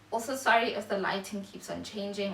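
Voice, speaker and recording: Audible room echo plus noticeable background noise. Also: woman. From South Africa. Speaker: YouTuber. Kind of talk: casual vlog monologue. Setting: home video recording, natural lighting. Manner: halting, many fillers.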